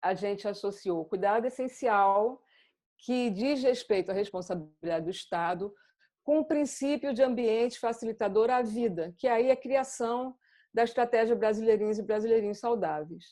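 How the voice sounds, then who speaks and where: A woman's fairly high voice, dark and mellow in tone, with ordinary pitch variation against a quiet background. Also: moderate pace. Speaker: psychoanalyst presenter. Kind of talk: lecture.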